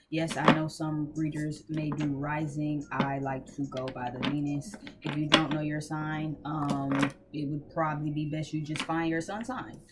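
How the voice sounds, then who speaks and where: The speech comes at a fairly slow pace. Noticeable background noise runs beneath it. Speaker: tarot reader. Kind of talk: tarot reading. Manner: casual, filler-heavy.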